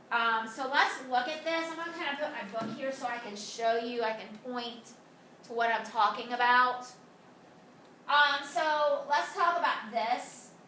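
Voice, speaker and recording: With audible room echo and noticeable background noise, a woman speaks fairly slowly in a high pitch with ordinary pitch variation. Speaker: high school math teacher. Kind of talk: video lesson. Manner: casual, many fillers.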